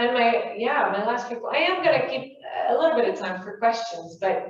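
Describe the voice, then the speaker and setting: A woman's animated, high voice with a French Canadian accent, moderate pace and audible room echo. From Quebec, Canada. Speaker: spiritual workshop speaker. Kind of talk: talk to small audience. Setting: room with live audience. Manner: animated, conversational.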